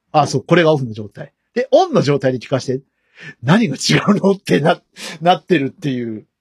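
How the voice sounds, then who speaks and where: In a dry, close recording with no echo, a man with fairly high pitch talks at a fairly quick pace, somewhat breathy, with lively intonation. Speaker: podcast host. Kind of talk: casual chat.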